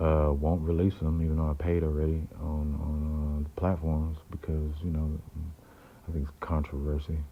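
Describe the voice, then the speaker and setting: A man with a very deep, low pitch and a somewhat breathy, dark, mellow tone talks at a moderate pace with monotone, flat intonation. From San Francisco Bay Area (Oakland). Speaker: independent rapper. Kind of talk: casual monologue. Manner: halting, many fillers.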